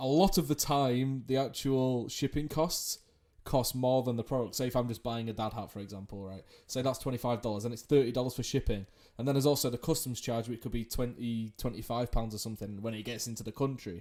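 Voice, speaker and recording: With a dark, mellow tone, a man talks at a very fast pace and ordinary pitch variation. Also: medium pitch for a man. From England. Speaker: podcast host, esports journalist. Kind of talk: interview podcast.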